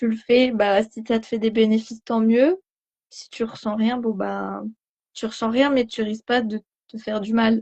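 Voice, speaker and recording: Her voice fairly high in pitch and somewhat breathy, a woman speaks in a monotone, flat intonation with big swings in loudness. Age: 20s. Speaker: patient giving testimonial. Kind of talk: testimony. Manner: hesitant, many fillers.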